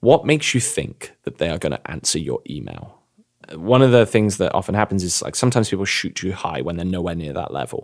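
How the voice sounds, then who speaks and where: A man with an English accent, a very deep, low voice, vocal fry, very wide pitch swings and a very fast pace. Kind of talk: podcast discussion, explanatory.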